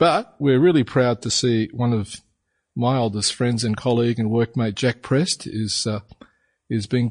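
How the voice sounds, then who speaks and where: Somewhat breathy, a man with an Australian accent is heard in a dry, close sound with no echo and a quiet background. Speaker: podcast co-host. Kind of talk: casual chat.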